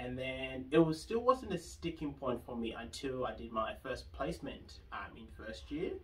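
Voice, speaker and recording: A man in an Australian accent at a moderate pace, with hardly any pauses and big swings in loudness. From Zimbabwe, moved to Australia at nine. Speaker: pediatric occupational therapist. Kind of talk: interview. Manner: hesitant, many fillers.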